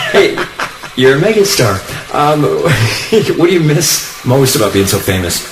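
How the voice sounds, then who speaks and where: Fairly slow speech from a man at a fairly high pitch, with very wide pitch swings and noticeable background noise. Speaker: country radio host. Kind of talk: radio show banter and interviews.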